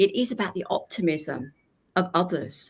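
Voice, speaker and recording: In a British accent, a woman with a fairly low pitch speaks in a warm, enthusiastic tone. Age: 60s. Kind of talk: interview conversation.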